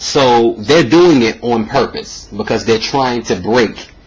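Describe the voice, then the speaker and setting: A man with a medium pitch and lively intonation at a fairly slow pace, with noticeable background noise. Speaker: video blogger. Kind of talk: opinion monologue. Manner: halting, many fillers and repeats.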